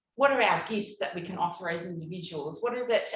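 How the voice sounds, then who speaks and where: Ordinary pitch variation is heard, along with audible room echo and noticeable background noise. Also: woman. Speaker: community program facilitator. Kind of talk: conference presentation. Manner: halting, many fillers.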